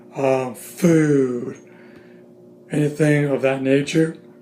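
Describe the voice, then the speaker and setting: Through noticeable background noise and audible room echo, a man's fairly high voice holds a monotone, flat intonation. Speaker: YouTuber reviewing TV shows. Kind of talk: casual vlog review. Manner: halting with many fillers and restarts; pacing around while talking.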